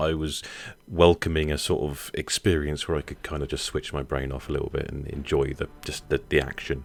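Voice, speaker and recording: On a very clean recording with a silent background, a man speaks with a very deep, low pitch, vocal fry and fairly even intonation. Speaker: podcast host. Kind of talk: casual conversation.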